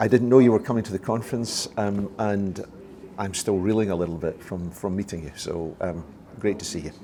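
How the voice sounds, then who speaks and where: A man's dark, mellow voice, fairly low in pitch with ordinary variation, fairly quick, with big swings in loudness. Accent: Scottish. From Scotland. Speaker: retired dental cancer specialist, charity founder. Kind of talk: interview. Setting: at a conference. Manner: hesitant, many fillers.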